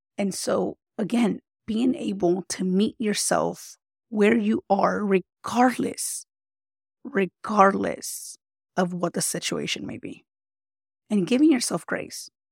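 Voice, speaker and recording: Vocal fry marks this woman's very slow speech, which has long, frequent pauses and big swings in loudness. The sound is dry and close, with no echo. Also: medium pitch for a woman, ordinary pitch variation. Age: 30s. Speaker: podcast host and life coach, army veteran. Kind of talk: casual motivational monologue. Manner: conversational, with fillers.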